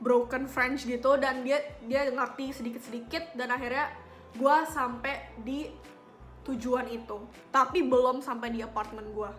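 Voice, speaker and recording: There is music in the background behind a woman speaking. Her voice is high-pitched, with fairly even intonation. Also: fairly slow pace. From Papua, Indonesia. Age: young. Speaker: student and lifestyle vlogger. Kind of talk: casual talk to camera. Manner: chatty, informal slang.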